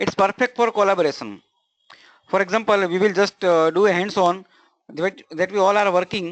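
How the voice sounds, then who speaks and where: A man speaks in a high voice with fairly even intonation. The sound is dry and close with no echo, over a quiet background. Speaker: webinar presenter. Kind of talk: online tutorial webinar. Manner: fast.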